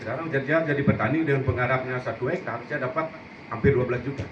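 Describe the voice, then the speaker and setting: A man's medium-pitched voice at a fairly quick pace, with ordinary pitch variation, audible room echo and noticeable background noise. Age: 60s. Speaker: farmer, former hotel chef. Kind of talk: panel discussion.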